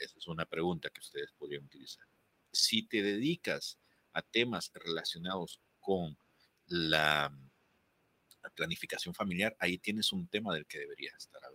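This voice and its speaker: Recorded with a dry, close sound and no echo, a man speaks with long, frequent pauses. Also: moderate pace, big swings in loudness. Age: 40s. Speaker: podcast producer and voice coach. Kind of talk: interview, advice on voice and content.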